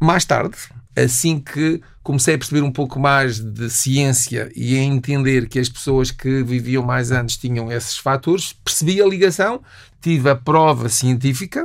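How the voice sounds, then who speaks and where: A man speaks at a moderate pace and medium pitch. He has a plain, everyday voice with ordinary pitch variation. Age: 60s. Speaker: nutritionist. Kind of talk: interview.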